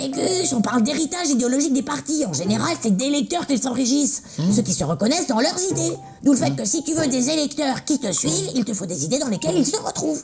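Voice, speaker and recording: Over clear background music, a cartoonish character voice speaks at a fairly quick pace in a high pitch. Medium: puppet show. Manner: explanatory, cautious.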